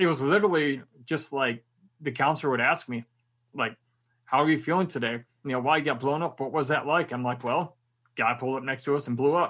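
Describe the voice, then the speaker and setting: Speaking at a very fast pace with long, frequent pauses, a man with an American accent uses a fairly high pitch and ordinary pitch variation against a quiet background. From Michigan. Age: 30s. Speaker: army veteran and motivational speaker. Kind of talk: interview.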